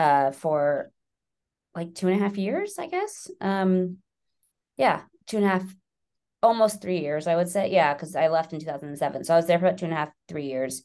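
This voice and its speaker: With an American accent and a dark, mellow tone, a woman speaks at a moderate pace with long, frequent pauses, her pitch fairly low with ordinary variation against a quiet background. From New York City. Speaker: magazine editor-in-chief. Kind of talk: interview. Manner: hesitant, many fillers.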